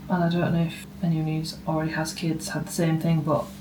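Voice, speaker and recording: A woman with a very deep, low pitch speaks over noticeable background noise. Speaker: new mother. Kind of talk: casual family vlog talk to camera.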